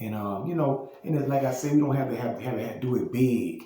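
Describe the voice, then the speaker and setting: Noticeable background noise and audible room echo surround a man with a Southern US accent. He speaks at a fairly quick pace with medium pitch and ordinary pitch variation. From Louisiana, Baton Rouge. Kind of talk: casual monologue vlog. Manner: halting, many repetitions and fillers.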